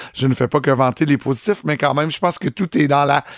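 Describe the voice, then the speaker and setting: Someone speaks at a very fast pace. The recording is very clean with a silent background, and the sound is dry and close with no echo. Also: man. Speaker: morning radio host. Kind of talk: casual chat.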